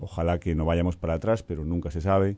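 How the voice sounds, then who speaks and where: A man's dark, mellow tone at a fairly quick pace. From Spain, Galicia. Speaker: UN official. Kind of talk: radio interview.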